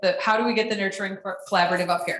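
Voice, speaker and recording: A woman is talking. Her intonation stays fairly even. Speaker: food bank program staff presenter. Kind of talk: presentation Q&A at a lunch meeting. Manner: loud.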